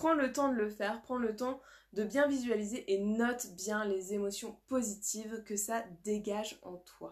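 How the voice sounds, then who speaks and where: A woman with a fairly high pitch speaks in an animated tone at a fairly slow pace, with ordinary pitch variation. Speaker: life coach. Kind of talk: live stream workshop. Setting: live video stream.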